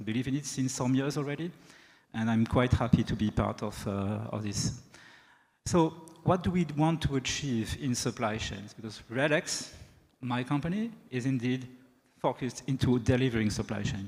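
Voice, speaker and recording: A man with a French accent speaks at a medium pitch and a moderate pace, with ordinary pitch variation. He takes long, frequent pauses. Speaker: sales executive, keynote speaker. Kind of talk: keynote speech. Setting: stage with audience.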